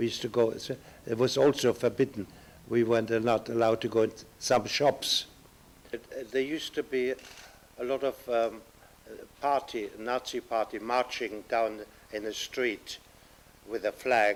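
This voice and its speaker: This voice has a German accent and monotone, flat intonation. The pace is moderate, broken by long, frequent pauses. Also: man, medium pitch for a man. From Germany (Upper Silesia), later England. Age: 80s+. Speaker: Holocaust survivor, Kindertransport refugee. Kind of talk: oral history testimony. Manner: halting, with many fillers.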